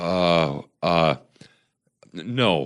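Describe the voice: In a put-on character voice pitched low, a man speaks at a very slow pace on a very clean recording with a silent background.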